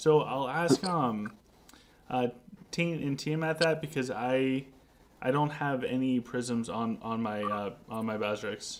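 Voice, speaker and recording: A man's medium-pitched voice at a very slow pace, with ordinary pitch variation. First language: not English. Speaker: game streamer. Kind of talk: live stream casual chat. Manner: halting, many repeated words.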